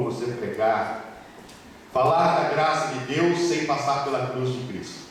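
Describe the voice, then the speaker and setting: Man at a fairly slow pace and fairly high pitch, with noticeable background noise. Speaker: presbyter preaching in church. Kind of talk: sermon. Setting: church pulpit with microphone.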